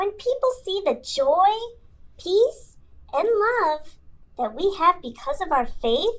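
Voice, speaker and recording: A woman in a put-on character voice speaks at an extremely high pitch with a warm tone and very wide pitch swings, going at a fairly slow pace with long, frequent pauses. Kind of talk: children's ministry podcast talk. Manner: warm, encouraging.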